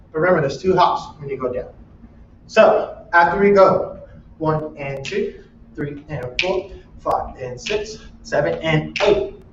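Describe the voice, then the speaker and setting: Amid audible room echo, a man speaks at a fairly slow pace with big swings in loudness. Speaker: dance teacher. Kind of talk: dance class instruction.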